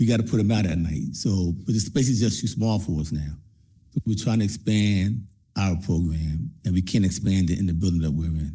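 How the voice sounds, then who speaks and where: A man's very deep, low voice, somewhat breathy with a dark, mellow tone, ordinary pitch variation and a fairly quick pace, with audible room echo. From Trenton, New Jersey. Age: 60s. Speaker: community program leader. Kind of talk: public comment at council meeting.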